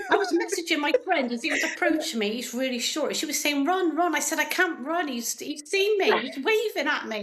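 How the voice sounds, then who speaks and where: Noticeable background noise sits behind a woman with a high pitch. She talks at a fairly quick pace with very wide pitch swings. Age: 50s. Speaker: NHS worker. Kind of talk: podcast interview answer. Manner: chatty, laughing storytelling.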